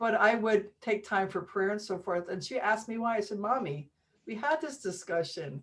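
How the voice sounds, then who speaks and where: A woman's medium-pitched voice with lively intonation at a moderate pace, in a very clean recording with a silent background. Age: 60s. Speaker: healer and musician. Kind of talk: interview conversation. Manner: animated.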